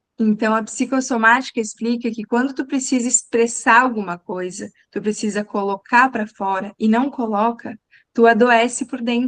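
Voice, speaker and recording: Delivered at a moderate pace with fairly even intonation, the speech has a dry, close sound with no echo. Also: woman, fairly high pitch for a woman. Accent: southern Brazilian. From southern Brazil. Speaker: communication coach. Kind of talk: live online talk.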